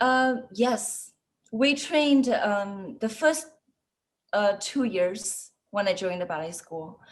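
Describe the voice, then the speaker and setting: A woman with a Chinese accent, fairly high in pitch, very slow, with lively intonation and music in the background. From China, Shanghai. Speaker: ballet dancer and choreographer. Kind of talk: interview. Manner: halting, many fillers.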